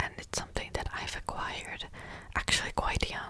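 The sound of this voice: A woman whispers.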